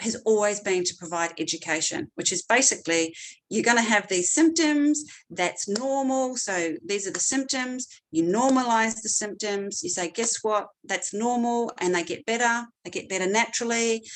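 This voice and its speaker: This woman's voice has a fairly high pitch and lively intonation, with a slight New Zealand accent. Her pace is moderate. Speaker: clinical neuropsychologist. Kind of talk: seminar presentation. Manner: hesitant with frequent fillers.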